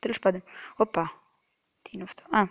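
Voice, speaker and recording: Soft-spoken and fairly slow, a woman of medium pitch speaks with ordinary pitch variation in a dry, close sound with no echo. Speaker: gaming youtuber. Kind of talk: gameplay commentary. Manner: halting.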